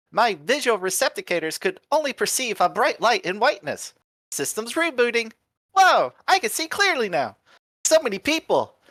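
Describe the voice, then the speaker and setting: A man's put-on character voice, extremely high in pitch with very wide pitch swings, at a moderate pace. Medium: game stream. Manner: chirpy, mechanical, excitable.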